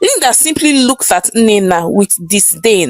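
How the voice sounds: The intonation here is lively. It comes in a natural reading voice.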